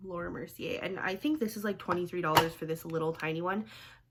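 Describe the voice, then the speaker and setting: Speaking at a very fast pace, a woman with medium pitch shows ordinary pitch variation. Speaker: beauty vlogger. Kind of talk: makeup tutorial. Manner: casual, chatty.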